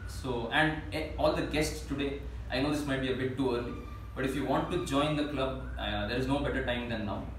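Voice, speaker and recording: A man talks at a very fast pace. Light background noise and audible room echo surround him. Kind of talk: meeting announcement. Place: meeting room. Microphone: camera far.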